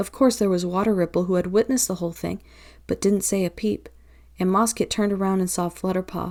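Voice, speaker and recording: A woman's unremarkable speaking voice at medium pitch, fairly quick and with fairly even intonation, on a very clean recording with a silent background. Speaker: audiobook narrator. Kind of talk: audiobook narration.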